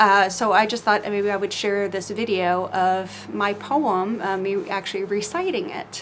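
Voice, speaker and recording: A woman speaks at a medium pitch with hardly any pauses over noticeable background noise. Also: fairly even intonation, fairly slow pace. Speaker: poet. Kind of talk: casual vlog talk; poetry reading. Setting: outdoors on screened-in porch, cold. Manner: halting, many fillers.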